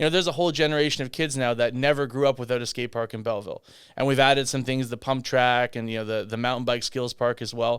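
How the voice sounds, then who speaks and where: The man's intonation stays fairly even. He talks at a very fast pace. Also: medium pitch for a man. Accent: Canadian. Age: 30s. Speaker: political candidate. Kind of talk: podcast interview.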